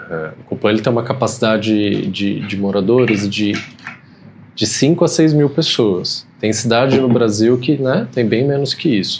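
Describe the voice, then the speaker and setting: A soft-spoken man with a medium pitch and lively intonation talks at a fairly slow pace over noticeable background noise. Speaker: guest. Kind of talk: casual conversation. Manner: halting.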